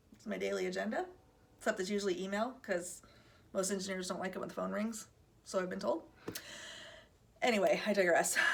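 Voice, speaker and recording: A woman talks at a very fast pace in an animated tone, yet with long, frequent pauses. Noticeable background noise runs underneath. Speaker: recruiter and video host. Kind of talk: casual vlog talk. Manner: animated, conversational.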